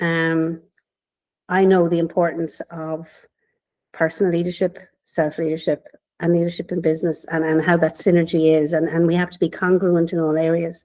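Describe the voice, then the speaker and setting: A woman with a strong Irish accent talks at a moderate pace in a fairly low, dark and mellow voice with monotone, flat intonation, on a very clean recording with a silent background. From Ireland, Waterford. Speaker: business mentor. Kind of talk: podcast interview.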